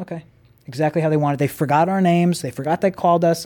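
A man with a New York accent and a fairly high pitch speaks at a very fast pace. The recording is very clean, with a silent background. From Long Island, New York. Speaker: camera car company owner and stunt driver. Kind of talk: casual chat.

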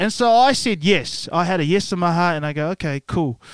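A man talks with a New Zealand accent. His pace is moderate. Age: 30s. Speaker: church member, singer, former rugby player. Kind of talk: testimony interview. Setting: podcast studio.

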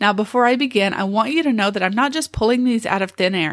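An unremarkable speaking voice from a woman, medium in pitch with ordinary pitch variation, on a very clean recording with a silent background. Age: 50s. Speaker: special education teacher and podcast host. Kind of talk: solo podcast monologue, tips list. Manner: casual, conversational.

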